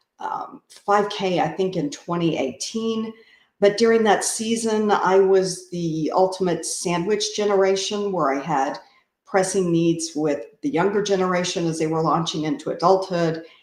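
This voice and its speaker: The woman has an unremarkable speaking voice and keeps a moderate pace. It sits at a medium pitch and varies in an ordinary way. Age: 60s. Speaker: amateur runner. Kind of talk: interview.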